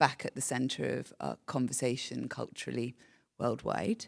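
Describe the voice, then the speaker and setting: A woman's very deep, low voice in a British accent at a moderate pace, on a very clean recording with a silent background. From UK. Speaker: panel moderator, nonprofit director. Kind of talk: panel moderation.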